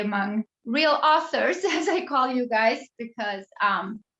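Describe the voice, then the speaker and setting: Pitched fairly high, a woman speaks at a fairly slow pace. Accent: non-native. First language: not English. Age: 40s. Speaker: memoirist. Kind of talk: author talk. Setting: video call.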